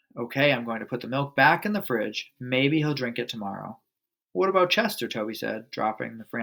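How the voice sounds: A natural reading voice with lively intonation against a quiet background.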